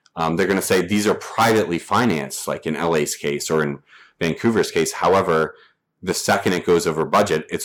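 An American man talks at a fairly quick pace with an ordinary speaking voice and ordinary pitch variation. The recording is very clean, with a silent background. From US South. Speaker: activist. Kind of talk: casual chat.

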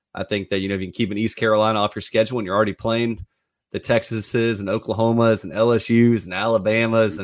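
A man's medium-pitched voice at a very fast pace, with a dry, close sound and no echo. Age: 30s. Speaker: sports reporter. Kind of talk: sports talk show.

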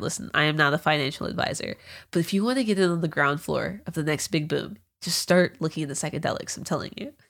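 Speaking very fast with lively intonation, a woman comes through on a very clean recording with a silent background. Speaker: producer filling in as host. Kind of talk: casual chat, comedy podcast. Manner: rambling, hesitant, joking.

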